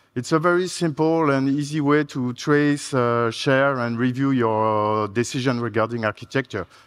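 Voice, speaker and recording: Speaking with a French accent, a man uses ordinary pitch variation and hardly any pauses. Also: moderate pace, quiet background. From France. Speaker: software architect. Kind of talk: conference talk. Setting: stage with audience. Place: stage.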